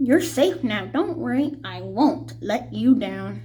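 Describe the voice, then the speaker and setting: Putting on a character voice, a woman talks at a fairly slow pace. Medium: read story. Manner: earnest, gentle.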